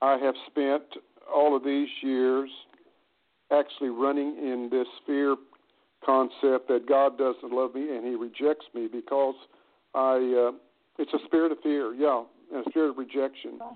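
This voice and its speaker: A man's flat, monotone delivery at a medium pitch with an American accent, fairly slow and broken by long, frequent pauses. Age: 70s. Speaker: caller. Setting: phone call.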